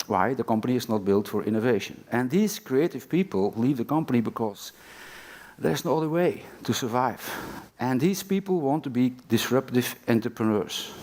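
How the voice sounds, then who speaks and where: Lively intonation marks this man's medium-pitched voice, delivered at a moderate pace. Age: 60s. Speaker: panel moderator. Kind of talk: panel discussion. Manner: halting.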